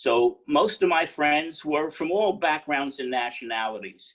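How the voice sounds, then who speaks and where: A man with a New York accent. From New York City. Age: 70s. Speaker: entrepreneur. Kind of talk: guest lecture.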